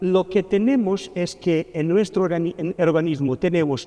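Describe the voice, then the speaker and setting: With noticeable background noise behind him, a man talks at a fairly slow pace in a high pitch with ordinary pitch variation. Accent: Portuguese. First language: Portuguese (speaking Spanish). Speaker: pharmacy professor. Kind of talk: lecture. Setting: conference talk.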